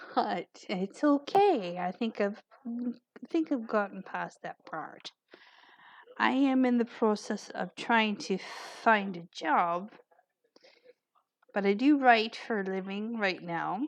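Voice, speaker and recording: At a very slow pace, a woman with a fairly high pitch leaves long, frequent pauses while her loudness swings widely. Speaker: author and vlogger. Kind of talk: personal vlog monologue. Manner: halting.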